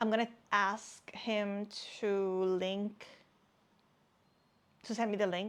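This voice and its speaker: In a very clean recording with a silent background, a woman with a non-native accent speaks at a fairly slow pace. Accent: non-native English, struggles with some words. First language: not English. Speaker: crafting YouTuber, knitter and crocheter. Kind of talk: casual show-and-tell vlog. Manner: hesitant, repeats words.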